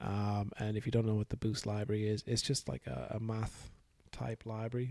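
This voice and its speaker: A man mumbles at medium pitch with fairly even intonation. His tone is dark and mellow, somewhat breathy. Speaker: hobbyist software developer. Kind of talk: casual software dev vlog. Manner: mumbling, hesitant.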